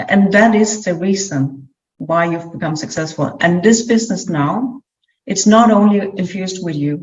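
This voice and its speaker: A woman speaks with a non-native accent at a medium pitch. Her voice is somewhat breathy, with ordinary pitch variation. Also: moderate pace. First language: not English. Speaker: clairvoyant business coach. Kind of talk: interview with spiritual reading.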